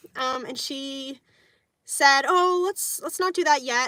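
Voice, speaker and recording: Raising and projecting her bright, sharp voice, a woman speaks at a fairly slow pace with lively intonation in a dry, close sound with no echo. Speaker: vlogger. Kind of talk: casual chat.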